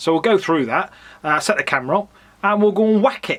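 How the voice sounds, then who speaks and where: At a moderate pace, the speaker talks with an English accent. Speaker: fossil hunter and YouTuber. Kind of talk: casual vlog narration. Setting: outdoors in back garden.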